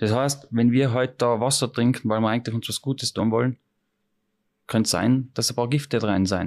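A plain, everyday voice from a man at medium pitch and moderate pace. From Austria, Tyrol. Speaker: chef. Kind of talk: interview. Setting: restaurant.

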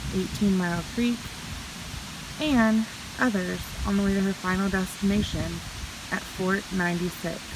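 A woman's voice, dry with no echo, amid noticeable background noise. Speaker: travel vlogger. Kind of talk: reading a sign aloud, paraphrasing. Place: forest. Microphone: phone near.

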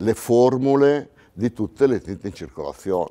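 Against a quiet background, a man with a dark, mellow tone talks at a fairly slow pace with lively intonation. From Italy. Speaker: paint sales veteran. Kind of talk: testimony. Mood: relaxed, anecdotal. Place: studio.

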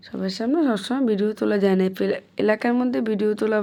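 This voice belongs to a woman. It has a dark, mellow tone. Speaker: vlogger. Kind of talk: casual vlog narration. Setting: outdoors.

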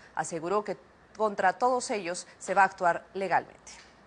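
Fairly quick talking from a woman with ordinary pitch variation. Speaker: news anchor. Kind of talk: news reading. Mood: serious, formal. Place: studio. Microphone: lapel.

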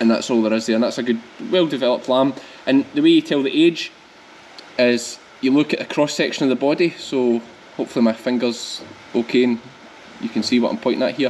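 A man with a strong Scottish accent talks very fast yet leaves long, frequent pauses. His intonation is fairly even, and light background noise is present. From Scotland, Ayrshire; Scotland. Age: 30s. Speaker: sheep farmer and vlogger. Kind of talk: farm vlog tutorial. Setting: on the farm, scanning sheep. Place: farm machine.

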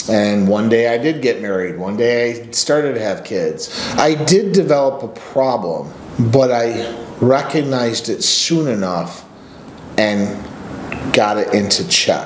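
With lively intonation, a man talks at a fairly slow pace. Audible room echo and light background noise fill the recording. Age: 40s. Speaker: men's coach and channel host; men's coach, channel host. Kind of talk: personal story monologue; casual storytelling vlog. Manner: casual, with filler words. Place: office. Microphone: webcam.

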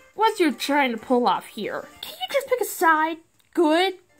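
A woman's put-on character voice, extremely high in pitch with big pitch swings, at a fairly slow pace over faint background music.

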